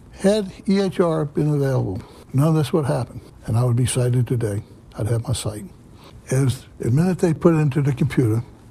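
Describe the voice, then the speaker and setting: A man's medium-pitched voice, somewhat breathy, with a dark, mellow tone. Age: 70s. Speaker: patient advocate. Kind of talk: testimony.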